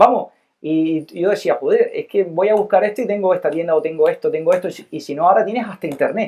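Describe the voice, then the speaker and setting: Speaking at a very fast pace, a man with a high pitch talks in a Cuban accent. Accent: Cuban Spanish, taken for Canarian. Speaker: investor. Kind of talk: casual interview chat.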